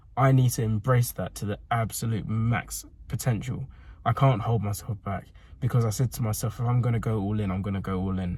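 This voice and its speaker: At a fairly quick pace, a man speaks in a somewhat breathy voice of medium pitch with fairly even intonation. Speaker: fitness vlogger and coach. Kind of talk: casual vlog monologue. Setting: in a car. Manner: halting.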